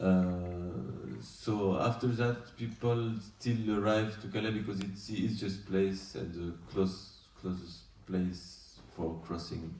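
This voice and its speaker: A man's very deep, low, dark and mellow voice, somewhat breathy, with a French accent, ordinary pitch variation, a very slow pace and audible room echo. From France. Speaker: documentary director. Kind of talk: post-screening Q&A. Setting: festival screening with audience. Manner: halting.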